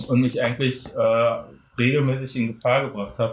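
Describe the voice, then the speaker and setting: At a moderate pace, a man talks in a somewhat breathy voice at a medium pitch, his intonation monotone and flat. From Germany, Frankfurt am Main. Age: 30s. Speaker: photographer. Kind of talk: casual chat.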